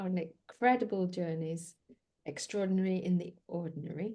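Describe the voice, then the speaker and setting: Using a dark, mellow tone, a woman speaks at a fairly slow pace with a medium pitch and fairly even intonation. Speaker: podcast host. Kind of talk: podcast interview.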